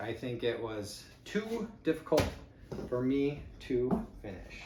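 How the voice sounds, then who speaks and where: A man with a Chicago accent swings his pitch very widely, with noticeable background noise and audible room echo. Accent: Midwestern (Chicago area). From Chicago area exurb, Midwest US. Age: 50s. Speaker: YouTuber, eBay reseller. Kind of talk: unboxing video, casual talk to camera. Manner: casual, many fillers (uh, um).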